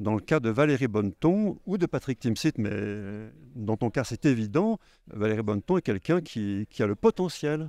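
With a dark, mellow tone at medium pitch, a man speaks at a moderate pace with very wide pitch swings, the sound dry with no echo. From Haute-Savoie, France. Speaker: film director and novelist. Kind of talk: interview. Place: hall. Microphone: handheld.

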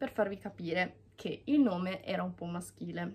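A woman's intonation is lively as she moves along at a fairly slow pace. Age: 20s. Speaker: YouTuber. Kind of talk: vlog monologue. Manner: halting. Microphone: phone near.

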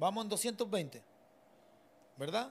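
This man talks with an Argentine accent. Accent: Argentine Spanish (voseo). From Argentina. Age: 40s. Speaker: mechanic and drag racing builder; podcast guest. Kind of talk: casual interview chat. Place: home room. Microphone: studio mic.

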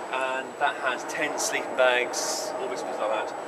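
Loud background noise surrounds a man who speaks at a fairly quick pace. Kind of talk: casual show-and-tell. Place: street. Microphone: phone near.

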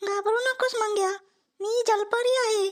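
A female-sounding voice puts on a cartoonish character voice. Her pitch is extremely high. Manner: soft, calm, kindly.

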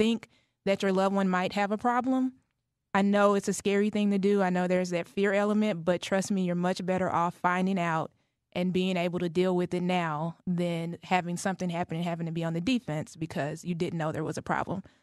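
Over a quiet background, a woman with an American accent talks at a fairly quick pace in an unremarkable speaking voice at a medium pitch. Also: dry sound with no echo. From Dallas, Texas; Texas. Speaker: family caregiver and advocate; guest. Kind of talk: radio interview. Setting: studio. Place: studio.

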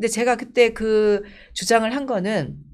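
A woman speaks at a fairly high pitch with vocal fry. The background is quiet. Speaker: politician. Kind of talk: interview. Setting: studio. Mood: warm, animated storytelling. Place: studio. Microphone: lapel.

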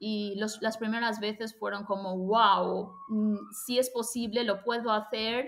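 A woman speaks with a fairly high pitch at a fairly slow pace. Her intonation stays monotone and flat. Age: 30s. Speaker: language school owner and Spanish teacher; Spanish teacher. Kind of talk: testimonial interview. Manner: halting. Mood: reflective, positive. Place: home room. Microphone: webcam.

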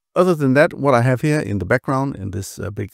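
Against a quiet background, an ordinary speaking voice comes through with a dry sound and no echo. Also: man. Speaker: automation software educator. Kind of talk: tutorial. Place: home room.

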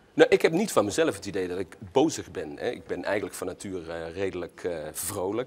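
Hardly pausing, a man speaks at a fairly quick pace. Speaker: local politician. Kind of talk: political debate. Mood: argumentative, firm. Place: studio.

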